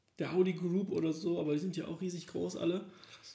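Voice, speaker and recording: A man with a fairly high pitch speaks at a fairly quick pace in a flat monotone, his tone dark and mellow against audible room echo. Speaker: podcast co-host. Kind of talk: casual chat. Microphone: laptop recording.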